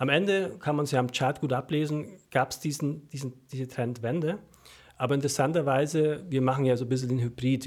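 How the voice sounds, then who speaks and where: Speaking at a fairly quick pace with a Franconian accent, a man of medium pitch keeps his intonation fairly even on a very clean recording with a silent background. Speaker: stock newsletter author. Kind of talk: casual chat. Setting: studio. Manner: mumbling.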